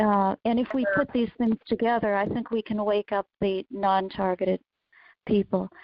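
A woman speaks in an ordinary speaking voice at medium pitch and a moderate pace. Her loudness stays very even and her intonation fairly even. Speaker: caller.

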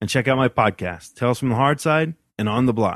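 Here a man speaks in a plain, everyday voice at a medium pitch and a moderate pace. The sound is dry and close with no echo, over a quiet background. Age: 40s. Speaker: podcast host. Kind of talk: solo podcast monologue.

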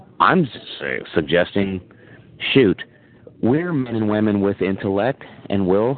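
Over noticeable background noise, a man with a fairly low pitch talks with lively intonation and long, frequent pauses. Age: 40s. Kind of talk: casual chat. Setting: phone call.

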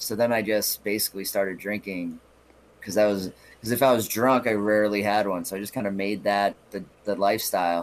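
Speaking at a fairly quick pace, a man with an ordinary speaking voice sits fairly low in pitch and shows ordinary pitch variation. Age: 30s. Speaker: comedian. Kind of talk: casual chat.

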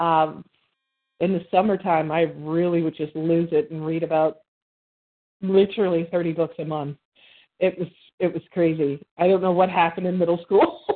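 A woman speaks with an American accent at a fairly low pitch. Her intonation is monotone and flat, at a moderate pace with long, frequent pauses. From Birmingham, Alabama. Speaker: cartoonist and comic creator. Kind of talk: casual interview. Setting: remote call.

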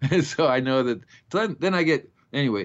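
Lively intonation in an American accent. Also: man. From Florida. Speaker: gardening show host. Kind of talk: casual chat. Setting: phone call. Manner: fast.

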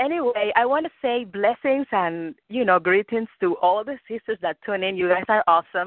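A woman talks at a moderate pace with a fairly high pitch. Her intonation is lively. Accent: slight Cuban. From Cuba. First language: Spanish. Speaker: caller. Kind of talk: casual chat. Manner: halting. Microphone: phone.

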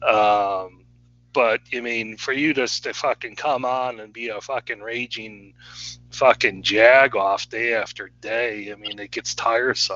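In a normal speaking voice, a man talks at a fairly slow pace and medium pitch, his intonation fairly even and his loudness swinging widely. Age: 40s. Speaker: podcast host. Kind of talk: casual chat.

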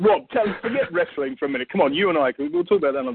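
The voice carries an English accent and moves in very wide pitch swings. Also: man. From England. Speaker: podcast host. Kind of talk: casual podcast chat.

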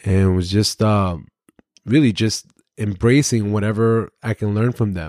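Speaking at a moderate pace with an American accent, a man keeps a fairly low pitch and fairly even intonation in a dry, close sound with no echo. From Brooklyn, New York. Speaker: podcast host, retired police officer and Navy veteran. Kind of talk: solo podcast monologue, personal story. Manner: halting, many fillers.

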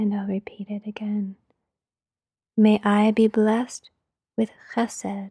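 In a dry, close sound with no echo, a woman speaks at a fairly slow pace with long, frequent pauses, in a fairly high, somewhat breathy voice that is gentle, soothing, dark and mellow, with monotone, flat intonation. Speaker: meditation leader. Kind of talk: guided meditation. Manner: slow, soft, calming; gentle and soothing.

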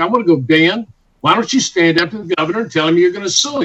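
An animated man with a Texan accent, very fast in pace, with ordinary pitch variation. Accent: Texan Southern US. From Texas. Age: 60s. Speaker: physician and clinic founder. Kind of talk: radio interview.

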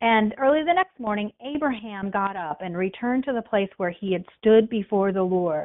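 A woman at medium pitch with lively intonation, a moderate pace and hardly any pauses. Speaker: devotional podcast host. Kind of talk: bible devotional teaching. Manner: casual, with hesitations. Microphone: back to her usual microphone after a new one failed.

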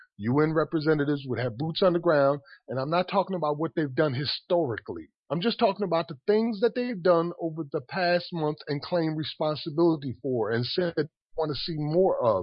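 With an American accent, a man speaks fairly quickly at a fairly high pitch, his intonation lively. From Paterson, New Jersey. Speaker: activist. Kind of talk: radio discussion.

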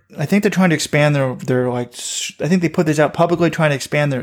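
Speaking at a very fast pace, a man uses a fairly high voice with ordinary pitch variation. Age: 40s. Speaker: running website co-founder and podcast host. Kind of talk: casual chat.

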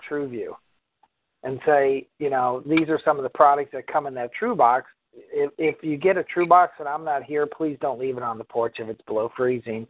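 This man has an ordinary speaking voice, fairly high in pitch with ordinary pitch variation, and talks at a moderate pace. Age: 50s. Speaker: company executive. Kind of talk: community call.

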